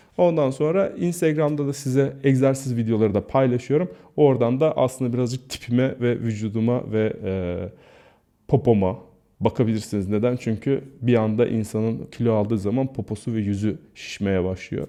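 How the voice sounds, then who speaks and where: A man's normal speaking voice, medium in pitch, with ordinary pitch variation at a moderate pace. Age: 40s. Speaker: YouTuber and health vlogger. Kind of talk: casual vlog monologue.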